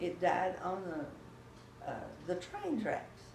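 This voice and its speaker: Speaking with a Texan accent and vocal fry, a woman at a medium pitch makes very wide pitch swings while audible room echo surrounds her. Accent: Texan Southern US. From Texas. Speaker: grandmother telling family history. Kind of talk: oral history interview. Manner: halting.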